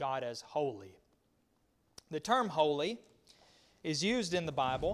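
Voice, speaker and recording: Heard in a very clean recording with a silent background, a man with an American accent speaks at a fairly high pitch. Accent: rural Southern US twang, self-described hick. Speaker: Bible class teacher. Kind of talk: Bible study lesson. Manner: halting, with many fillers and repetitions.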